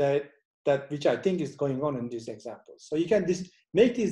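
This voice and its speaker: A man speaks at a moderate pace, fairly high in pitch, with a dark, mellow tone. His intonation is lively and his voice somewhat breathy. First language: Turkish. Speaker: professor. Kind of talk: lecture. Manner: halting.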